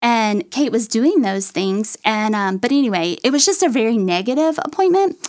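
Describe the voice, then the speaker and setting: In an East Texas accent, a woman talks at a moderate pace with hardly any pauses, her pitch swinging very widely. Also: fairly high pitch for a woman. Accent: East Texas Southern. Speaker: mother of a child with medical needs. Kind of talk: testimony.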